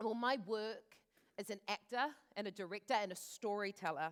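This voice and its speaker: Recorded with a dry, close sound and no echo, a woman with a strong New Zealand accent speaks at a fairly high pitch with ordinary pitch variation. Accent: thick New Zealand. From New Zealand, East Auckland (left Fiji as a child). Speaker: actor and director. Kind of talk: live talk. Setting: stage with audience.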